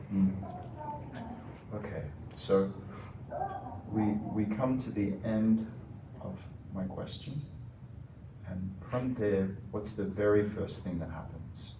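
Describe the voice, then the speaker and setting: A calm tone at a very slow pace with long, frequent pauses and ordinary pitch variation, plus audible room echo and noticeable background noise. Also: man, fairly low pitch for a man. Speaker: research interviewer. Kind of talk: structured interview.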